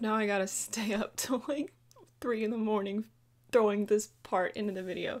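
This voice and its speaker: The woman's pitch varies in an ordinary way as she talks at a moderate pace. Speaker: commentary youtuber. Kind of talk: commentary. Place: home room. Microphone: phone near.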